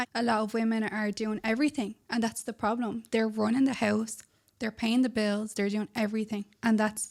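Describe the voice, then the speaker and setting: Speaking with an Irish accent at a moderate pace, the voice stays monotone and flat in a very clean recording with a silent background. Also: woman. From Ireland. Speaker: podcast co-host, relationship advice. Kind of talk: casual chat.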